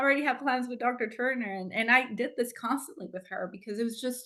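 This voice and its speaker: Very fast speech with ordinary pitch variation. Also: woman. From Mexico. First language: Spanish. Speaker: doctoral graduate. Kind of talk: tribute speech. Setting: video call. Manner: halting.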